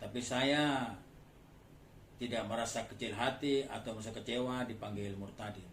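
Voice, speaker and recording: At a moderate pace and medium pitch, a man speaks with fairly even intonation and long, frequent pauses, amid noticeable background noise and audible room echo. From Madura, Bangkalan. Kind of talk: testimony.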